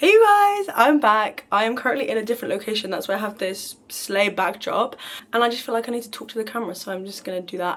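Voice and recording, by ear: Doing a raspy, put-on character voice, a woman races along at a very fast pace with a fairly high pitch and big swings in loudness.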